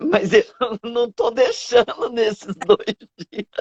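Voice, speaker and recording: This voice belongs to a woman. She speaks at a very slow pace. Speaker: event host, celebrant trainer. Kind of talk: interview. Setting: video call. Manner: soft-spoken.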